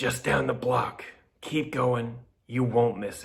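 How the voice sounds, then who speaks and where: Putting on a character voice that is raspy and wheezy, a man speaks at medium pitch and a fairly slow pace with monotone, flat intonation and big swings in loudness. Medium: read story. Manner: wheezing, sly.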